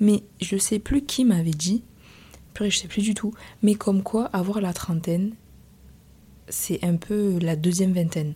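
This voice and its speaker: At a very slow pace with long, frequent pauses, a woman speaks in a medium pitch with a dark, mellow tone, a somewhat breathy quality, and ordinary pitch variation. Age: 20s. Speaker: podcast host. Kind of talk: personal monologue. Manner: casual, hesitant with fillers.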